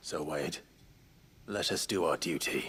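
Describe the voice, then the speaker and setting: Raspy and very deep, a man's put-on character voice moves at a fairly slow pace. The pitch sits very low. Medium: video game. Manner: formal, earnest.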